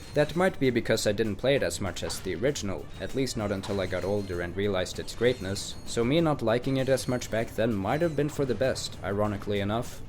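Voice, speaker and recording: Music plays in the background as a man with a medium pitch speaks very fast with hardly any pauses. His intonation is lively. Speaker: gaming YouTuber. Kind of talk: scripted video essay narration.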